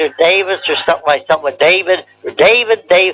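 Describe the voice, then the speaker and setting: Over noticeable background noise, the man's high voice shifts pitch in an ordinary way. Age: 90s. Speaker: war veteran. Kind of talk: oral history interview. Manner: halting, repetitive.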